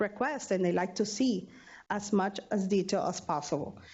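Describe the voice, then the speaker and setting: A woman talks in an ordinary speaking voice at a moderate pace. Her intonation stays fairly even. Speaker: university student affairs budget staff. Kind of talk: training presentation.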